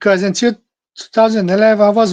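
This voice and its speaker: A man is speaking. He has a Portuguese accent. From Brazil. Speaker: podcast host. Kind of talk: casual monologue. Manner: halting.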